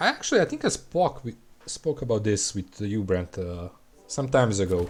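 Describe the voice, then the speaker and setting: A man's fairly low voice in a Serbian accent, lively in intonation, at a moderate pace. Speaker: gaming streamer. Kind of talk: live game stream chat. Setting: live stream. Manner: casual, halting.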